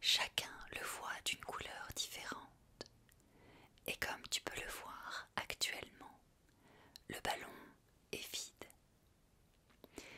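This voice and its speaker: Whispering in a gentle tone, a woman speaks at a very slow pace with long, frequent pauses. Noticeable background noise can be heard. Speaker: ASMR content creator. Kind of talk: guided visualization, sophrology script. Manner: soft, gentle, slow.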